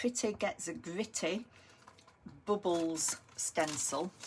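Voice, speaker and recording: Very slow speech from a woman amid noticeable background noise. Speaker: crafting video host. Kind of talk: crafting tutorial. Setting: live stream on camera.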